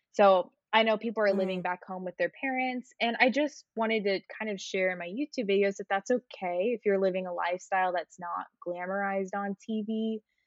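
With an American accent, a woman talks at a fairly quick pace in an unremarkable speaking voice, her pitch medium and her intonation fairly even. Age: 20s. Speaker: content creator. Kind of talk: casual chat. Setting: video call.

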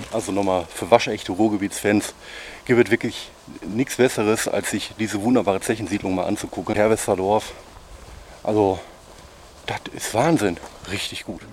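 A man speaks at a moderate pace in a fairly low voice, with long, frequent pauses. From Ruhr area, Oberhausen. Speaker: food vlogger. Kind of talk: casual chat. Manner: animated.

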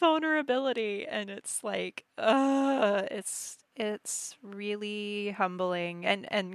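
A woman's animated tone at medium pitch, lively intonation, and a very clean recording with a silent background. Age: 30s. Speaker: podcast host. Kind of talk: casual interview chat. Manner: animated, laughs often.

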